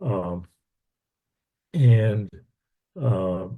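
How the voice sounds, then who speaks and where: Over a quiet background, a man's fairly low, somewhat breathy voice carries a dark, mellow tone. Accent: American. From Texas. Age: 70s. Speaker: minister giving a talk. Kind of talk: online lecture. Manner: halting, many fillers and repeats.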